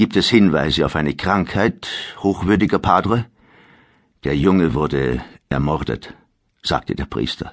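A man's very deep, low voice with vocal fry and a dramatic tone, lively intonation, a fairly slow pace, long, frequent pauses, and a quiet background. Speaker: audiobook narrator. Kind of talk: dramatic audiobook narration of historical fiction. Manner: gravely dramatic, slow and suspenseful.

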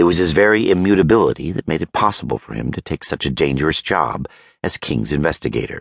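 The speaker races along at a very fast pace with very wide pitch swings and vocal fry. The tone is dramatic, and the sound is dry and close with no echo. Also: man, very deep, low pitch for a man. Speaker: audiobook narrator. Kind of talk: dramatic audiobook narration of fantasy fiction. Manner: smooth, measured, wry storytelling pace with slight dramatic inflection.

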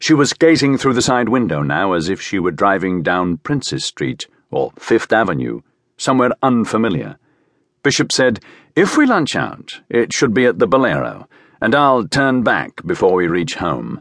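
A man with vocal fry and very wide pitch swings talks at a moderate pace in a dry, close sound with no echo against a quiet background. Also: medium pitch for a man. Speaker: audiobook narrator. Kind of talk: dramatic audiobook narration.

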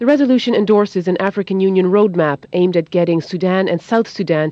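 A woman talks fairly quickly at a medium pitch, with lively intonation. It is an ordinary speaking voice. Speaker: foreign correspondent. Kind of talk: news report. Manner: formal, measured.

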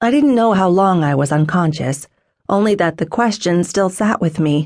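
A woman with a plain, everyday voice talks at a medium pitch and a moderate pace. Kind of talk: audiobook dramatic first-person narration. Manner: tense, emotional, intense.

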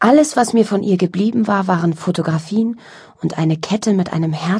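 Pitch variation is ordinary throughout. The delivery is plain reading aloud.

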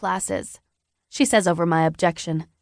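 The delivery is animated and dramatic, at a moderate pace over a quiet background. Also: woman. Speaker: audiobook narrator. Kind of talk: audiobook narration, dramatic first-person reading with character voices. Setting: studio. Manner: animated, dramatic, voicing teenage characters in dialogue.

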